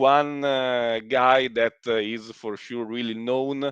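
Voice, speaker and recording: This man speaks with an Italian accent. His intonation is fairly even. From Italy. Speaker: live stream host. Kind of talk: live stream interview. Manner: halting, many fillers.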